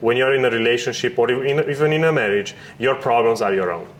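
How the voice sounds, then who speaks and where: Noticeable background noise runs through the clip. The talking goes at a fairly quick pace. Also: man. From Romania. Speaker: podcast host. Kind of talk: casual chat.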